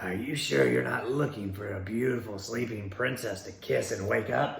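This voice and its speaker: A put-on character voice from a man, raspy and fairly low in pitch, with lively intonation at a moderate pace and audible echo. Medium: read story.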